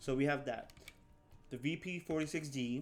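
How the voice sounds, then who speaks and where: Quiet in volume, a man speaks at a moderate pace. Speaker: gaming youtuber. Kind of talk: gameplay tutorial. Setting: at home, recording. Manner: quiet, held-back volume; halting, many repeats and fillers.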